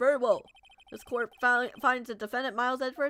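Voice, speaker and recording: Using a put-on character voice, a woman talks at a fairly quick pace in a high pitch with monotone, flat intonation. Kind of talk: courtroom speech. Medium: virtual streamer. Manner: formal, measured.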